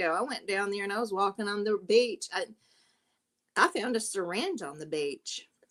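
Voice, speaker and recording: A woman with a Southern US accent, medium pitch, lively intonation and a moderate pace. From South Carolina. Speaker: livestream panel host. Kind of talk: casual chat.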